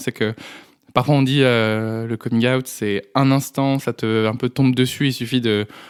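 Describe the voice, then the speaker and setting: Recorded very cleanly against a silent background, a man talks at a medium pitch with fairly even intonation. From France, Dreux area. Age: 20s. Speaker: podcast guest. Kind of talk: testimony. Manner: halting, many hesitations.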